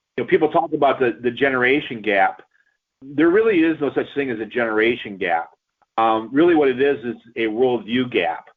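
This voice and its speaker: At a fairly quick pace, a man with an ordinary speaking voice and medium pitch talks with lively intonation. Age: 60s. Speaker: pastor. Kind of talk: radio interview.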